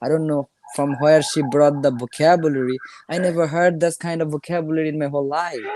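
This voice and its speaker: In a Bengali accent, a man speaks at a very fast pace with a fairly high pitch and fairly even intonation. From India (Bengali-speaking). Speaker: English learner. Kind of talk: casual chat. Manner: halting.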